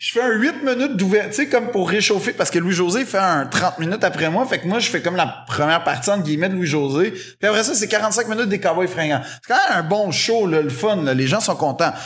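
Hardly pausing, a man with a Quebec accent talks at a fairly quick pace in a high pitch with lively intonation amid noticeable background noise. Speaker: comedian. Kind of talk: casual chat. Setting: stage with audience.

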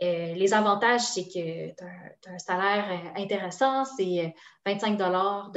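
A woman with an ordinary speaking voice, medium pitch and fairly even intonation. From Quebec, Sherbrooke. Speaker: language program promotion officer. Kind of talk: casual interview.

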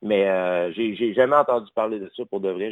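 With fairly even intonation, a man speaks in a normal speaking voice at a moderate pace. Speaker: caller. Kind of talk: call-in discussion.

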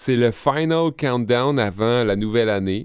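In a very clean recording with a silent background, a man at medium pitch speaks very slowly with lively intonation. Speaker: podcast co-host. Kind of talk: informative segment; casual chat. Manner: calm.

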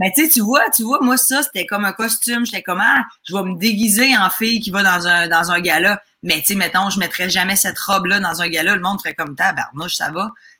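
This woman has an unremarkable speaking voice, medium pitch, ordinary pitch variation and a fairly quick pace. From Quebec, Lac-Saint-Jean. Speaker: comedian. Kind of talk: casual chat.

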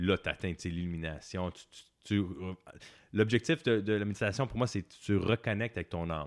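Recorded very cleanly against a silent background, with a dry, close sound and no echo, a man speaks at a fairly quick pace and a fairly low pitch, with ordinary pitch variation and long, frequent pauses. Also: big swings in loudness. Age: 40s. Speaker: tarot and meditation teacher, author. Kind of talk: casual interview.

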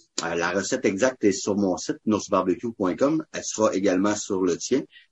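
A man talks at a moderate pace with a Quebec accent. His pitch is fairly low, with ordinary variation. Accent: Québécois French. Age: 30s. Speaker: barbecue cook and charity founder. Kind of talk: casual interview. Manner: energetic; talkative.

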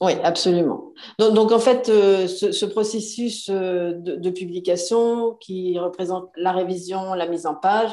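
With fairly even intonation, a woman's voice sits at a medium pitch. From France. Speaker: self-publishing business owner. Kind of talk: interview.

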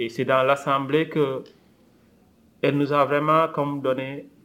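A man speaks at a fairly slow pace. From Senegal. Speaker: community organization leader. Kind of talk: interview.

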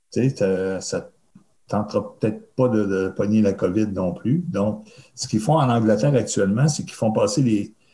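A man with a Quebec accent speaks at a moderate pace in a fairly low voice with a dark, mellow tone and ordinary pitch variation. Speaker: festival producer. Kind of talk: interview.

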